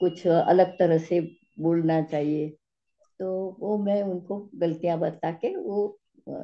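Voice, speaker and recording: With a Gujarati accent, a woman talks at a medium pitch with fairly even intonation. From India, Gujarat (Ahmedabad). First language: Gujarati (speaking Hindi). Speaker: physics teacher. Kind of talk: interview. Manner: halting.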